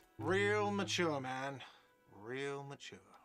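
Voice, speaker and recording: Putting on a whiny character voice at medium pitch, a man shouts while faint music plays in the background. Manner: shouting, sarcastic.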